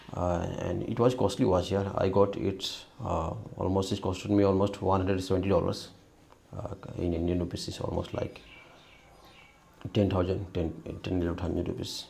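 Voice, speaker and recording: Amid noticeable background noise and audible room echo, a man with a very deep, low pitch speaks with long, frequent pauses. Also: fairly even intonation, moderate pace. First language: not English. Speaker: tech YouTuber. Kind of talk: product review and troubleshooting video. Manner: halting, many fillers.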